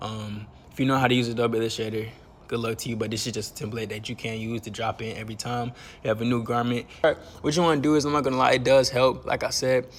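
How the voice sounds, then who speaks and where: Words come at a very fast pace with fairly even intonation. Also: man, medium pitch for a man. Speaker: clothing brand owner and fashion YouTuber. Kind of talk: tutorial. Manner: casual, slangy.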